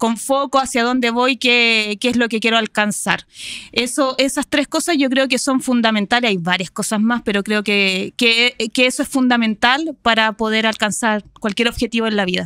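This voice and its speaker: A woman with a Chilean accent and a fairly high pitch speaks at a moderate pace with hardly any pauses, ordinary pitch variation and very even loudness, in a dry sound with no echo against a quiet background. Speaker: marketing professional and university lecturer; university lecturer. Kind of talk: interview. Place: studio. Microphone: studio mic.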